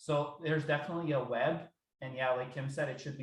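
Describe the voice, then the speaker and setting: There is audible room echo around this man's voice. He speaks at a fairly quick pace with fairly even intonation. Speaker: research program administrator. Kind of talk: work meeting discussion.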